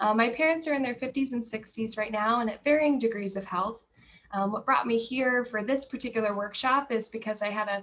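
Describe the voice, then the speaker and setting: This woman has an ordinary speaking voice, fairly high in pitch, moving at a fairly quick pace with ordinary pitch variation. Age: 30s. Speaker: client service coordinator. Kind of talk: webinar introduction.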